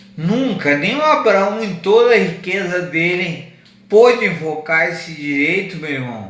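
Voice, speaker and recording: A man with a high pitch and lively intonation speaks at a fairly slow pace, with noticeable background noise. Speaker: evangelist preacher. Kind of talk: sermon. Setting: radio broadcast from wheelchair.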